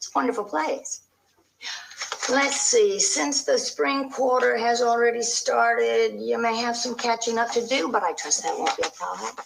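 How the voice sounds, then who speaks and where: Using a put-on character voice, a woman speaks at a moderate pace in a high, raspy register. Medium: game stream. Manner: smooth, reassuring.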